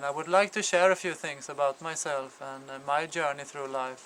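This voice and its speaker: With noticeable background noise behind him, a man of fairly high pitch talks at a moderate pace using fairly even intonation. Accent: Swedish. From Sweden. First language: Swedish. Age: 40s. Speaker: father appealing for support. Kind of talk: personal testimony. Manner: halting, many fillers.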